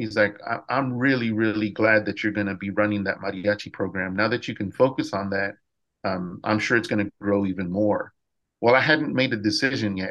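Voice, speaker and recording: A man with an American accent, fairly low pitch, fairly even intonation and a fairly quick pace against a quiet background. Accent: Texan English, Mexican American. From South Texas. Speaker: high school music teacher. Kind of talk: casual interview.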